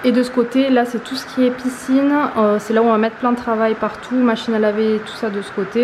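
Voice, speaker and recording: Flat and monotone, a woman with a fairly high voice talks at a very fast pace amid noticeable background noise and audible room echo. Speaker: vlogger. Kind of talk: casual vlog. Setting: garage at home.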